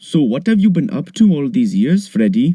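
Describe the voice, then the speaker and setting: Here a man uses a put-on character voice with a high pitch. He keeps a moderate pace. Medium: audio drama. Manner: warm, storytelling.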